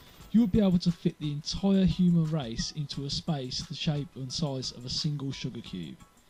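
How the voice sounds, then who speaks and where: A man talks at a moderate pace and with ordinary pitch variation while music plays in the background. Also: big swings in loudness. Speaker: gamer. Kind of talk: casual gameplay commentary. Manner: low energy, unenthusiastic.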